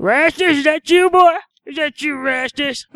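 Someone shouts in a high-pitched, put-on character voice at a moderate pace. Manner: yelling, funny.

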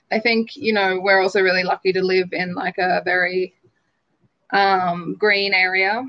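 A woman talks with an Australian accent. Her intonation stays fairly even. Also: medium pitch for a woman, moderate pace. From rural New South Wales, Australia. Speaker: public health and nursing graduate working in healthcare management. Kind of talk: interview.

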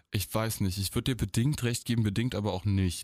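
On a very clean recording with a silent background, a man speaks in an unremarkable speaking voice with ordinary pitch variation and a dry, close sound with no echo. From Eifel, western Germany. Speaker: podcast co-host. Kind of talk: casual chat. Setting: studio.

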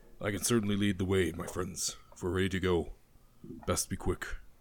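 A man puts on a character voice with a very deep, low pitch, speaking at a fairly quick pace in a monotone, flat intonation. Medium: actual play. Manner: terse, menacing, watchful.

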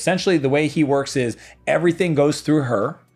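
Music plays in the background. The speaker talks at a fairly quick pace in an animated tone. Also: man. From Eastern Canada. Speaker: entrepreneur and business coach. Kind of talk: casual interview chat.

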